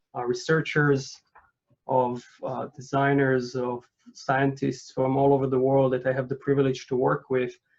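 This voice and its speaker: With a non-native accent, a man speaks at a moderate pace and medium pitch in a flat, monotone delivery. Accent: foreign accent, non-native English. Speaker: architect and urban researcher. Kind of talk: lecture. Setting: video call. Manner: halting, many fillers.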